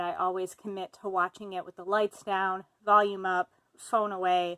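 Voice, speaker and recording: A bright, sharp tone comes through with an Upper Midwest accent. The pace is moderate. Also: woman, dry, close sound with no echo. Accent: Upper Midwest, like Fargo. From US Midwest (Fargo area, North Dakota). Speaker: writer. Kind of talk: casual self-introduction monologue. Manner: casual with fillers.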